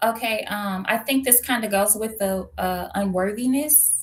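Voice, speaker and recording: A somewhat breathy woman with a Midwestern accent and ordinary pitch variation. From US Midwest, St. Louis, Missouri. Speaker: identity coach. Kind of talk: interview.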